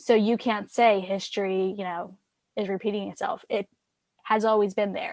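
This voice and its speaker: An ordinary speaking voice from a woman, medium-pitched, fairly even in intonation, moderate in pace. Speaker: podcast co-host. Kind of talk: casual chat.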